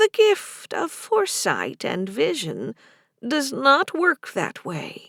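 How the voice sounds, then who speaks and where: A woman uses a put-on character voice, high in pitch, and speaks at a very slow pace. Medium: read story. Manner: formal, measured.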